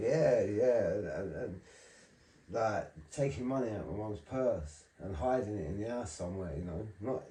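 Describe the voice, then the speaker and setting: At a moderate pace, a man with a fairly low pitch and lively intonation speaks over noticeable background noise, with audible room echo. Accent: South London. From South East London (Charlton). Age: 40s. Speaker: recovering addict, ex-prisoner. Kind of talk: testimony.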